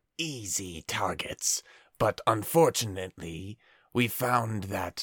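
Putting on a character voice, a man talks at medium pitch and a fairly slow pace. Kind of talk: staged message recording. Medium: actual play. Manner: urgent, improvised report.

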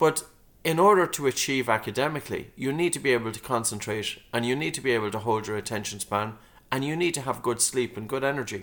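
A man with an Irish accent at a very fast pace, with ordinary pitch variation. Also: medium pitch for a man. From Ireland, County Meath. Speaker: breathing instructor and author. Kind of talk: interview.

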